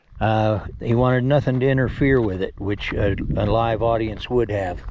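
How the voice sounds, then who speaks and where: Noticeable background noise runs behind the speech. A man talks at a medium pitch with fairly even intonation. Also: moderate pace. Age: 70s. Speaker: video blogger. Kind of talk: casual monologue. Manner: halting.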